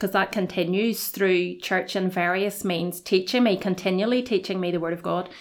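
In a Belfast accent, a woman speaks at a medium pitch with fairly even intonation. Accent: Belfast Northern Irish. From Northern Ireland, Belfast. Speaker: college registrar. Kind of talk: podcast interview about faith.

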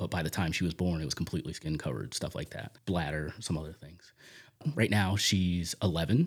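In a very clean recording with a silent background, a man talks at a fairly quick pace with a very deep, low pitch. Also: ordinary pitch variation. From US Northeast, South Jersey near Camden. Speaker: church prayer coordinator. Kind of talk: faith testimony interview.

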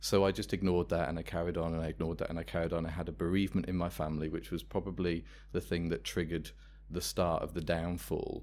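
With an English Midlands accent, a man with a very deep, low voice and vocal fry talks very fast, his intonation lively. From England, Worcester. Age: 30s. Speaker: life coach. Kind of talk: interview.

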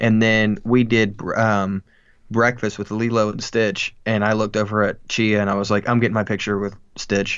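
The man's voice sits fairly low and stays monotone and flat. His pace is moderate. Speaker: podcast co-host. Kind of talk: casual chat.

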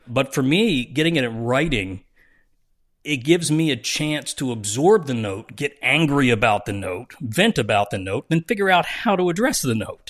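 A man talks at a fairly high pitch and a moderate pace, with very wide pitch swings. The background is quiet. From US Northeast, South Jersey. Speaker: TV writer, director and producer. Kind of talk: interview, casual chat.

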